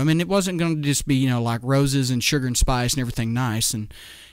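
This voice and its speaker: The pace is very fast. An audible room echo surrounds the voice. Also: man, hardly any pauses. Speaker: political radio host. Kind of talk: political commentary show. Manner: rambling, filler-heavy.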